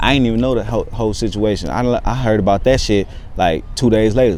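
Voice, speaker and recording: A man with an American accent talking very fast, with audible room echo and noticeable background noise. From Texas, San Antonio east side. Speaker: rapper and actor. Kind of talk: casual interview.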